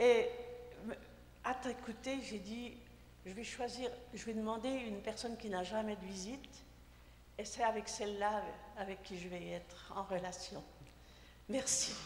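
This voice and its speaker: With noticeable background noise and audible room echo, a woman speaks at a fairly slow pace with fairly even intonation, big swings in loudness, and long, frequent pauses. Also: fairly high pitch for a woman. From Haiti. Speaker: audience member. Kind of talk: audience comment.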